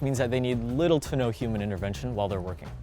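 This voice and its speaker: A man speaks with music playing in the background. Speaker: delivery robot cleaner. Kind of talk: interview answer.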